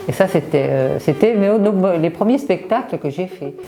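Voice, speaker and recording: Noticeable background noise accompanies a woman speaking at a fairly slow pace with a medium pitch and lively intonation. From Brittany, France. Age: 60s. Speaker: amateur theatre participant. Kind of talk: interview testimony. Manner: hesitant, many fillers.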